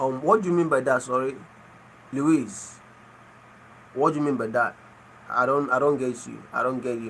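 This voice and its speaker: A man with a Nigerian accent speaks at a medium pitch. He takes long, frequent pauses. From Nigeria (Igbo). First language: Igbo. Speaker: livestreamer. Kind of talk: casual chat. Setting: live stream.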